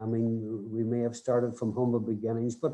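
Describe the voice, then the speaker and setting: A man in a Northern Irish accent, medium-pitched, dark and mellow in tone, at a moderate pace. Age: 60s. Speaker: rugby development coach. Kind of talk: podcast interview. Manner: halting, many repeated words.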